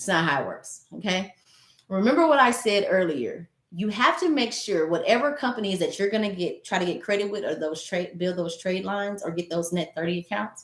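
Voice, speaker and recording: In a plain, everyday voice, a woman at medium pitch talks at a fairly quick pace with lively intonation. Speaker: business credit consultant. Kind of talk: tutorial.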